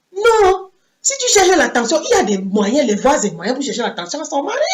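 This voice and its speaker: Audible room echo carries a woman's high-pitched voice. She speaks at a fairly quick pace with very wide pitch swings. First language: English (speaking French). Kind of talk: sermon. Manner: halting.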